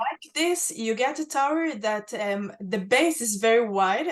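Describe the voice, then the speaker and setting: A woman with an Israeli accent speaks fairly slowly at a fairly high pitch, her intonation lively. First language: Hebrew. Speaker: museum access and inclusion head, archaeologist. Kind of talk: Q&A on a virtual guided tour. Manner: halting, many fillers.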